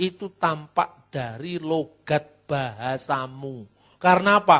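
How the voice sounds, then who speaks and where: A man with a Javanese accent against a quiet background. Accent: noticeably Javanese when speaking Indonesian. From Java, Indonesia. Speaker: pastor and theologian. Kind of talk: lecture.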